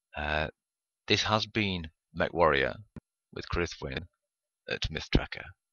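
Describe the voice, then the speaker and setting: The pace stays fairly slow. It is spoken in an English accent. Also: man. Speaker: gaming YouTuber. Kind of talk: gameplay commentary. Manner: hesitant with many fillers.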